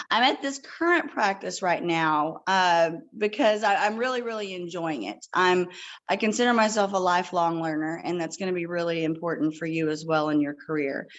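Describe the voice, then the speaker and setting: With lively intonation, a woman speaks at a fairly low pitch. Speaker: nurse practitioner. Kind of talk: talk to students. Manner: fast.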